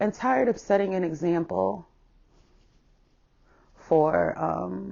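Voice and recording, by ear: Slow and slightly mellow, a woman's voice carries vocal fry. Its pitch variation is ordinary. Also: fairly low pitch for a woman.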